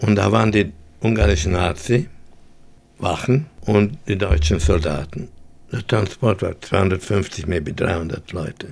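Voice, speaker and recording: Very slowly and with lively intonation, a man speaks at a very deep, low pitch in a somewhat breathy voice. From Vienna, Austria and Hungary. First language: English in daily life, German rusty (speaking German). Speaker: Holocaust survivor. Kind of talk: testimony. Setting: studio.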